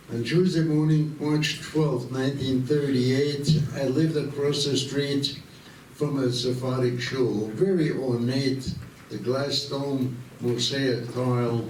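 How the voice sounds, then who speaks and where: A man with an Austrian accent at a very slow pace, medium pitch and fairly even intonation, amid noticeable background noise and audible room echo. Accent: Austrian German-tinged American English. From Vienna, Austria. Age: 90s. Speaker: war veteran. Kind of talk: talk to students. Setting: school assembly.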